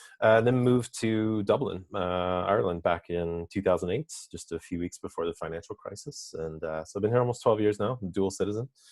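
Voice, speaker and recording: A man with an unremarkable speaking voice and an American accent talks at a fairly quick pace with hardly any pauses, his fairly low pitch showing ordinary variation and his loudness swinging widely. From US Midwest, Indiana. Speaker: business consultant. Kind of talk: interview.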